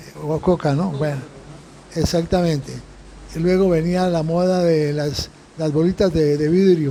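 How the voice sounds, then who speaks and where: Fairly slow, fairly high-pitched speech from a man with long, frequent pauses and noticeable background noise. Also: fairly even intonation. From Colombia, Bogotá. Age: 90s. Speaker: Jesuit priest, interviewee. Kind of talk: interview. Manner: halting, many fillers and repetitions.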